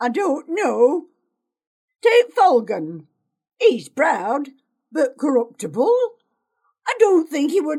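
A woman uses a put-on character voice at a high pitch, swinging very widely in pitch. She speaks at a very slow pace with long, frequent pauses. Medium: read story. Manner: blunt, gruff.

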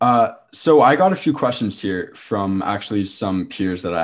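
A man with a Canadian accent, a normal speaking voice, a fairly low pitch and ordinary pitch variation. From Ontario, Canada (Oakville). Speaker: podcast host. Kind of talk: casual interview chat.

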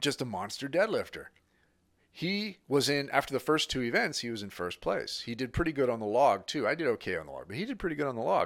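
A man with an American accent talks very fast at a fairly high pitch, with vocal fry and very wide pitch swings, on a very clean recording with a silent background. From Northern California, Sacramento. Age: 50s. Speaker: strength coach. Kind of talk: casual chat.

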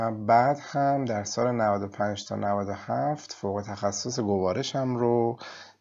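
Fairly low male pitch, varying in an ordinary way. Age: 40s. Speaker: gastroenterologist and university administrator. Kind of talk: interview. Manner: formal.

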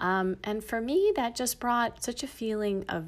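A woman with an American accent and an ordinary speaking voice talks at a fairly slow pace with ordinary pitch variation, in a very clean recording with a silent background. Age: 50s. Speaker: podcast host and breathwork teacher. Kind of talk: personal storytelling monologue.

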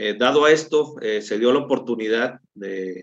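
A man's voice at a medium pitch. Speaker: Red Cross relief coordinator and firefighter. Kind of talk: interview. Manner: halting, with repeated filler words.

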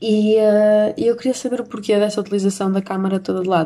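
The woman's voice has a dark, mellow tone. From Portugal. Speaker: podcast host. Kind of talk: casual monologue. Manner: hesitant with fillers.

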